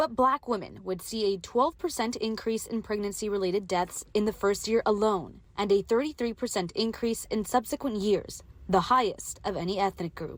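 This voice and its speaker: Using a normal speaking voice, a woman talks at a moderate pace with hardly any pauses, her fairly high pitch showing ordinary variation. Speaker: bilingual TV reporter. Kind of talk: English TV news reporter delivery.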